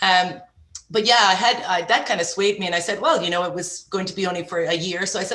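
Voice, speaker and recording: Audible room echo surrounds a woman with an Irish accent who speaks at a medium pitch with ordinary pitch variation. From Ireland. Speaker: entrepreneur. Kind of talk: podcast interview. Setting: podcast.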